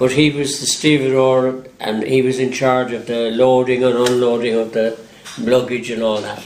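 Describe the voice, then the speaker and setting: A man with an Irish accent speaks at a moderate pace and medium pitch in a monotone, flat intonation. Noticeable background noise and audible room echo surround him. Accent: Irish (Galway). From Ireland, Galway. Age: 80s+. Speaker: retired local resident. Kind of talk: personal reminiscence. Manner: halting.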